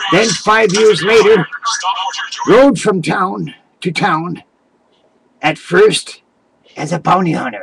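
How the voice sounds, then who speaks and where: At a fairly slow pace and with long, frequent pauses, a man speaks in a high pitch with ordinary pitch variation. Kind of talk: folksy tall tale. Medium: solo performance. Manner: rambling, halting, self-correcting.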